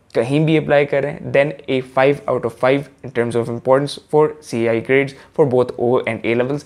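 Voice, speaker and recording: A man at a medium pitch with fairly even intonation and an unremarkable speaking voice. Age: young. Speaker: student content creator. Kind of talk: casual explainer vlog.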